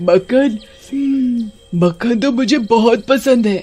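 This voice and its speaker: A man performs a cartoonish character voice at an extremely high pitch. His pace is fairly slow. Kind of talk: animated children's horror story narration. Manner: scary, eerie.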